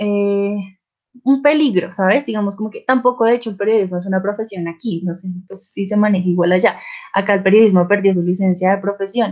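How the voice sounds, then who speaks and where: A woman with a medium pitch talks at a fairly quick pace, her intonation fairly even. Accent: Colombian. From Colombia. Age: 20s. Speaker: journalism student. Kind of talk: casual chat.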